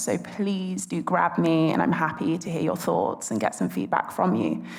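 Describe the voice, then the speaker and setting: The woman speaks at a moderate pace with a British accent and vocal fry. Audible room echo surrounds her voice. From England, London. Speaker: conference speaker, tech sales and marketing professional. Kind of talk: conference talk.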